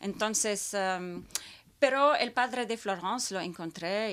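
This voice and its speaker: On a very clean recording with a silent background, a woman is heard. She speaks at a very slow pace. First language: not Spanish; learned Spanish as a child in Peru (speaking Spanish). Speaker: opera singer. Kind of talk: interview. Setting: studio.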